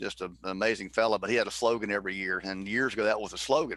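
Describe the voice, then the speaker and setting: A man with a strong Southern US accent speaks in a bright, sharp tone at a fairly low pitch, his intonation fairly even. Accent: thick Southern. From US South, Mississippi. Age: 50s. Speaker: former baseball player. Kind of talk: casual chat. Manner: fast.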